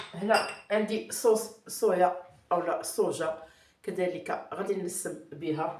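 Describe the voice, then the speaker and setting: Ordinary pitch variation in audible room echo. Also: woman. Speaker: cooking channel host. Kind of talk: cooking tutorial. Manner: hesitant with fillers.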